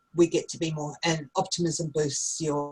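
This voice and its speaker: With an Australian accent, a woman speaks in a very deep, low voice that is somewhat breathy. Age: 50s. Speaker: teacher. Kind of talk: online class. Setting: video call.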